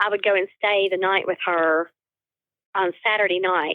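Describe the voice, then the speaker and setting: At a moderate pace, a woman with a slight northeast Tennessee accent speaks at medium pitch. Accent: subtle northeast Tennessee. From Appalachian southwest Virginia near northeast Tennessee. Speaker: quilter. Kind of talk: interview.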